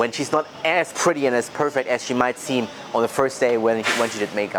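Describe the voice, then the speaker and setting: A man's medium-pitched voice with a German accent, at a fairly quick pace, over noticeable background noise. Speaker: sales coach vlogger. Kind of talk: casual vlog monologue.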